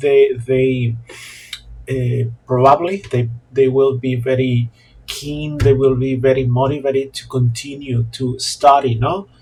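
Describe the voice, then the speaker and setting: A man with a Mexican accent speaks at a fairly slow pace in a medium pitch, his intonation fairly even over noticeable background noise. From Mexico, La Paz. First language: Spanish. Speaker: Spanish teacher. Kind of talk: monologue vlog talk. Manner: halting, many fillers and repetitions.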